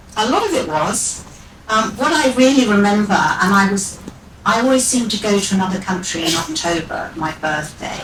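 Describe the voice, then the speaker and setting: Lively intonation marks this woman's speech, heard through noticeable background noise and audible room echo. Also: medium pitch for a woman, moderate pace. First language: Maltese as a small child. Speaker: radio presenter. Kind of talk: interview talk at live event.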